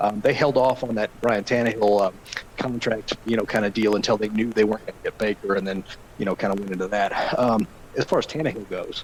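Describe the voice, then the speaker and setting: Noticeable background noise runs under a man's voice. He speaks at a fairly low pitch with fairly even intonation. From Arkansas. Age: 30s. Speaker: NFL insider. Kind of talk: podcast interview. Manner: hesitant, many fillers.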